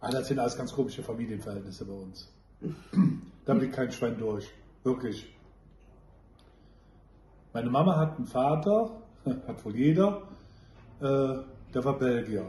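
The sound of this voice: A man speaks at a medium pitch and a fairly slow pace, his intonation lively and his tone dark and mellow. Long, frequent pauses break up the speech, and audible room echo surrounds it.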